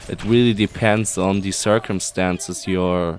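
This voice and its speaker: The speaker has a German accent and a fairly slow pace. The intonation is fairly even. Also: man. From Germany. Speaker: video game guide youtuber. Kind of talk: Q&A tutorial.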